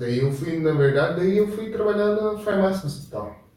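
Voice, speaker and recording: Audible room echo surrounds a man's voice. He talks at a moderate pace with very wide pitch swings. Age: 20s. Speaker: podcast guest. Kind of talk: casual chat. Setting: live stream.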